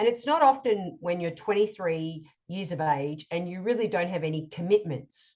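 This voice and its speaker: A woman speaks with an Australian accent at a fairly low pitch and a moderate pace. Her intonation is lively, and the background is quiet. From Australia, Melbourne. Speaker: coach and author. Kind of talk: casual conversational interview. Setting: remote call.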